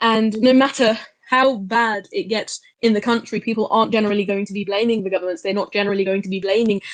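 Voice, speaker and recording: With an English accent, a woman speaks at a medium pitch and with fairly even intonation against a quiet background. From England. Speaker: speaker in online discussion. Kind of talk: group discussion contribution.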